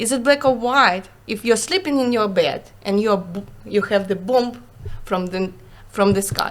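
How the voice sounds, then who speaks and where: A woman speaks at a moderate pace with a Ukrainian accent and a fairly high pitch. Her pitch varies in an ordinary way, broken by long, frequent pauses. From Ukraine. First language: Russian. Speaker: Ukrainian refugee, former business owner. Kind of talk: interview. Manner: halting, searching for words; animated.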